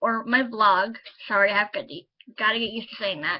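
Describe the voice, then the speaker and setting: Her fairly high voice moves at a moderate pace with ordinary pitch variation as this woman speaks. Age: 30s. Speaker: vlogger and self-published author. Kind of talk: casual vlog monologue. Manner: hesitant, with frequent ums.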